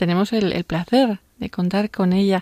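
In a Spanish accent, a woman speaks at a fairly slow pace with ordinary pitch variation. Her tone is dark and mellow, and the sound is dry and close with no echo. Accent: Spanish (Spain). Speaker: radio host. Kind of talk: radio show. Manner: animated.

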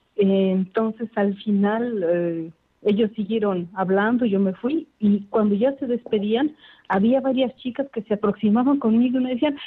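A woman speaks at a fairly slow pace with a Mexican accent. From Mexico, Puebla. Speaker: nun. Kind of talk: radio interview.

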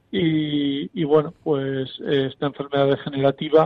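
Fairly high-pitched, a man speaks in an ordinary speaking voice with fairly even intonation. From Spain, Soria (Castile). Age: 50s. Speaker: writer, blind contributor. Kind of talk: interview testimony.

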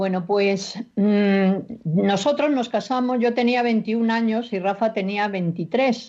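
A woman speaks very slowly with very even loudness and a fairly high pitch. Her tone is dark and mellow. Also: ordinary pitch variation. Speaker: marriage support program volunteer. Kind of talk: radio interview with personal testimony.

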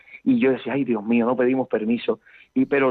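A man speaks at a moderate pace. His medium pitch shows ordinary variation. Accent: Cuban. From Cuba, Camagüey. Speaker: priest. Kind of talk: interview.

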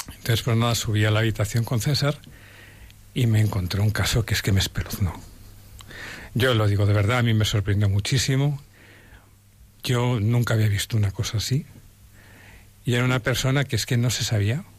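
A man's somewhat breathy, medium-pitched voice at a fairly quick pace, fairly even in intonation and very even in loudness, with long, frequent pauses. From Spain. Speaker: lawyer and volunteer. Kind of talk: testimony.

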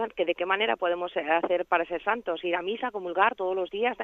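With an unremarkable speaking voice, a woman talks at a fairly quick pace and fairly even intonation. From Spain, Valencia. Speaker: radio caller. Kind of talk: phone-in question.

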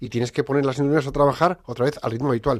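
A man is talking here. The pitch of his voice is medium. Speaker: radio host. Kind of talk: radio talk show. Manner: animated.

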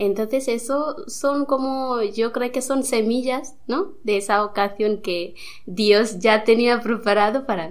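Her pace is very slow, with hardly any pauses. The woman's pitch is fairly high, with ordinary pitch variation. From India. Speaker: nun. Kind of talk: interview. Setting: studio. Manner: halting.

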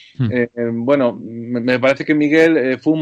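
With an unremarkable speaking voice, a man speaks at a fairly slow pace using ordinary pitch variation. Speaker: television director. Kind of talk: radio interview.

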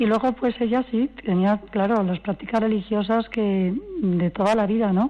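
A woman talks at a fairly slow pace in an ordinary speaking voice, her fairly high pitch showing ordinary variation and her loudness very even. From Valencia region, Spain. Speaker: granddaughter of a couple in beatification process. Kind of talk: radio interview.

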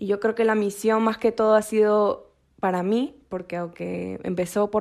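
Monotone and flat, a woman's dark, mellow voice is captured in a very clean recording with a silent background. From Peru. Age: 20s. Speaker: university student, missionaries' daughter. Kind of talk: testimony.

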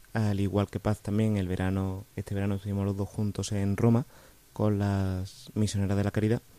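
A man with a fairly low pitch and a dark, mellow tone speaks at a moderate pace in a flat monotone, recorded dry and close with no echo. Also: very clean recording, silent background. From Spain, Córdoba. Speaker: student and lay missionary. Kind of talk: radio interview. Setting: studio.

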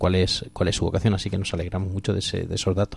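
A man speaks at a fairly low pitch with monotone, flat intonation on a very clean recording with a silent background. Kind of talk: radio talk show. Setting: radio studio.

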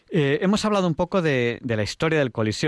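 Talking at a fairly quick pace, a man uses very wide pitch swings. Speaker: radio host. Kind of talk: radio talk show. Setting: radio studio.

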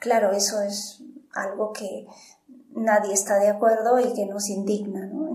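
A woman's medium-pitched, flat monotone voice with audible room echo and noticeable background noise. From Peru. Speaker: missionary worker. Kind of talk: radio interview.

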